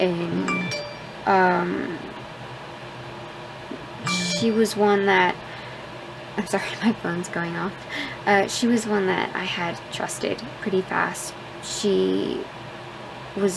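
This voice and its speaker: A soft-spoken woman at a very slow pace, with long, frequent pauses and noticeable background noise. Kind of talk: casual vlog talk to camera.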